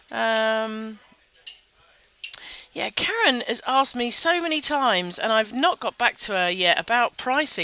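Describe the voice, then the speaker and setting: With a British accent, a woman talks at a fairly slow pace in a fairly high pitch with very wide pitch swings, over noticeable background noise. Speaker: social media marketing webinar host. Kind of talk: casual webinar talk. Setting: webinar in a busy public venue. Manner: quiet; informal, off the cuff.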